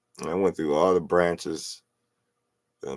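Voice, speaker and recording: With vocal fry and a very deep, low pitch, a man speaks with ordinary pitch variation in a dry, close sound with no echo. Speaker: vlogger, musician. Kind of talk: casual monologue. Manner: animated.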